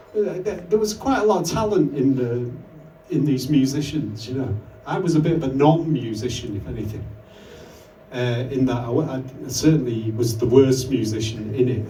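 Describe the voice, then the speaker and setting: A man speaks with lively intonation. There is noticeable background noise and audible room echo. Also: medium pitch for a man, moderate pace. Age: 60s. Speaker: electronic musician. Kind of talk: interview. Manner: halting.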